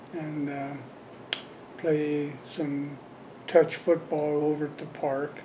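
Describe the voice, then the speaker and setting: A man with an American accent and a fairly high pitch, very slow and monotone, with long, frequent pauses over noticeable background noise. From Colorado, Windsor area. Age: 70s. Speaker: longtime local resident, former volunteer fireman. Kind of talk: oral history interview. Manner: halting, many fillers.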